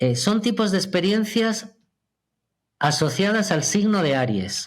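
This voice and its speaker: On a very clean recording with a silent background, a man with a high voice talks at a fairly slow pace, his pitch swinging very widely. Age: 50s. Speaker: astrologer. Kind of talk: podcast interview.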